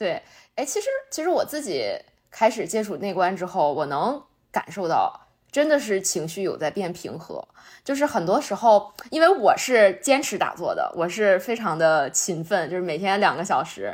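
Speaking at a moderate pace, a woman with a medium pitch makes very wide pitch swings. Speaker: podcast host. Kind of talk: casual chat.

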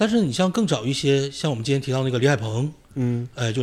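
A man talks in an ordinary speaking voice at a medium pitch. His pitch variation is ordinary. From Northeast China, Shenyang (Tiexi district). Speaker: university lecturer and poet. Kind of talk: casual conversation.

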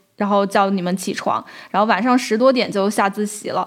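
A woman speaks at a fairly quick pace in a normal speaking voice, her pitch fairly high and her intonation fairly even, on a very clean recording with a silent background. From Guangxi, China. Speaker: podcast host, editor. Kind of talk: casual interview chat.

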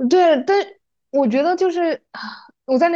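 A woman at a fairly quick pace over a quiet background. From Yunnan, Mangshi (Dehong). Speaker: podcast co-host. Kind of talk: casual chat. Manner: animated storytelling.

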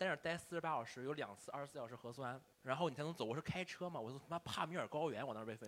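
A man talks at a very fast pace with hardly any pauses, his fairly high pitch moving with ordinary variation. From Shandong, China. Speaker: stand-up comedian. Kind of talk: casual chat.

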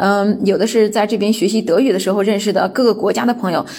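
A woman at medium pitch, fairly quick in pace, with fairly even intonation. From mainland China. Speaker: guest sharing personal experience. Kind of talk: personal talk, self-recorded monologue. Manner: hesitant, many filler sounds.

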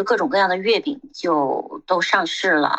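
A woman's moderate pace and lively intonation in a normal speaking voice. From Xinjiang. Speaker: retired MBA program manager and magazine editor. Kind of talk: casual chat.

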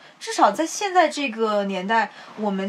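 Over noticeable background noise, a woman speaks at a moderate pace. Her fairly high voice has lively intonation. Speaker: podcast co-host. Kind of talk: casual chat.

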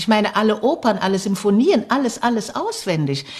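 She has a fairly high pitch. This voice belongs to a woman. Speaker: opera singer. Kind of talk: interview testimony.

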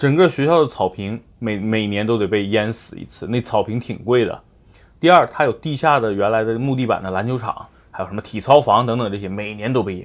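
The voice is an unremarkable speaking voice, with ordinary pitch variation. Its pace is fairly quick. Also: man, medium pitch for a man. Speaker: car advice podcast host. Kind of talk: casual chat.

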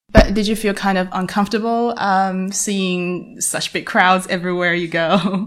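With a Chinese accent, a woman speaks at a medium pitch and moderate pace in a flat monotone, hardly pausing, over noticeable background noise. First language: Mandarin Chinese. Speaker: English learning podcast host. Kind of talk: casual interview.

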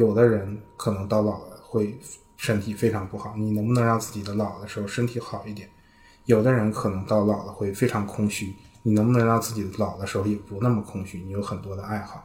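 A man's fairly low, somewhat breathy voice, monotone and flat in intonation, at a fairly quick pace. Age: 20s. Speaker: product manager, podcast editor. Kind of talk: casual discussion.

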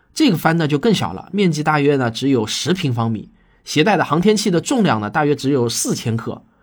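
With a fairly high pitch and big pitch swings, a man talks at a fairly quick pace in a very clean recording with a silent background.

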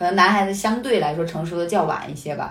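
Noticeable background noise sits behind a woman's voice. She is at medium pitch with ordinary pitch variation. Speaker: podcast co-host. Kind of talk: casual chat. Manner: laughs often.

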